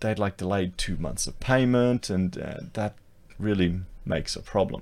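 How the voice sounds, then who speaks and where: Speaking with an Australian accent, a man keeps a fairly slow pace. His pitch is fairly low, with ordinary variation. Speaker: YouTuber and architect. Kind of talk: solo commentary video. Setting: screen-share recording. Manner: casual, repetitive.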